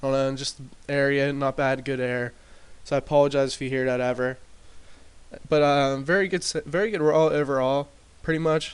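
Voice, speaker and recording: Quiet and fairly high in pitch, a man talks at a fairly quick pace with fairly even intonation. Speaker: gaming commentator. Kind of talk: casual gameplay commentary. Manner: hesitant, many fillers.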